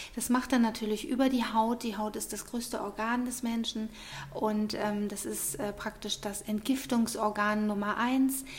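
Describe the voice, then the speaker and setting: A woman with a fairly high voice speaks at a fairly slow pace with monotone, flat intonation over noticeable background noise. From Munich, Bavaria. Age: 40s. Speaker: beautician. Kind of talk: interview. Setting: studio.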